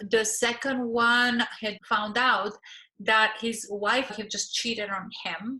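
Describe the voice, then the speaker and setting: In a very clean recording with a silent background, a woman speaks very slowly with a fairly high pitch and a bright, sharp tone. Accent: Bulgarian. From Bulgaria. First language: Bulgarian. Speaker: relationship coach and therapist. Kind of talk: course promo talk.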